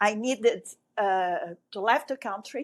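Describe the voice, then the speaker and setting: Speaking very slowly, a woman talks in a French accent. The background is quiet. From Brazil (grew up in Rio), born in Egypt. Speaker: broadcast sports event director. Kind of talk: interview. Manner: halting.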